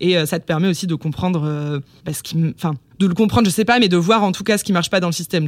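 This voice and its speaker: Fairly low-pitched woman's voice, very fast pace, ordinary pitch variation. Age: 20s. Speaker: activist and content creator. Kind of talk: casual interview. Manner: stutters.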